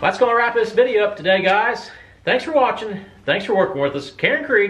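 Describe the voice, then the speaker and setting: Over music in the background, a man with a high pitch speaks at a fairly quick pace with lively intonation. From southern Ohio. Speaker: sawmill and excavation channel host. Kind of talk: casual vlog talk.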